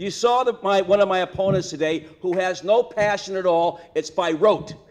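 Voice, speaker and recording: A man speaks at a moderate pace in a high-pitched voice, with noticeable background noise behind him. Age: 60s. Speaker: political candidate. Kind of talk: campaign speech. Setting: stage with audience. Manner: animated.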